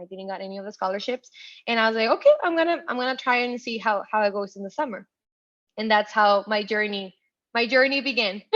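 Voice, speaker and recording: A woman with a Spanish accent talks at a very fast pace, her pitch fairly high with ordinary variation. Her loudness swings widely against a quiet background. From Ciudad Juarez, Mexico; moved to El Paso, Texas at 13. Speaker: tech professional, first-generation college graduate. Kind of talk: interview, personal story. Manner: animated, with many fillers and restarts.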